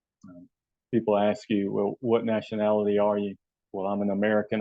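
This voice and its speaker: In a Southern US accent, a man speaks at a fairly low pitch with monotone, flat intonation. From US South. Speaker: health and wellness coach. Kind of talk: channel introduction monologue. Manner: hesitant, many fillers.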